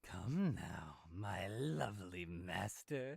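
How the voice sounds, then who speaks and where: Using a put-on character voice, a man speaks very slowly in a raspy, fairly low voice with lively intonation. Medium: video game. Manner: teasing, sly.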